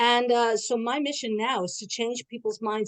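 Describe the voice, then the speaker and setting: A woman speaks in a New York accent. The sound is dry and close with no echo, and the background is quiet. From New York City. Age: 70s. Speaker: social gerontologist. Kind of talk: online panel introduction. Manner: fast.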